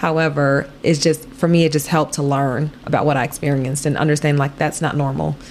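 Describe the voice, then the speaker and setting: A woman with an American accent, very deep and low in pitch, monotone and flat, at a fairly quick pace with very even loudness, amid noticeable background noise. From Chicago area, Illinois. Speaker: nonprofit founder and businesswoman. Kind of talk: casual interview. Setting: apartment.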